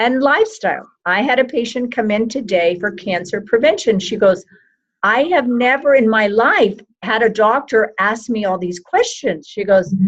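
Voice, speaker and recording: A woman's fairly high voice at a moderate pace, with ordinary pitch variation and an unremarkable speaking voice. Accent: American. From Texas. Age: 60s. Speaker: medical doctor. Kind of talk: interview.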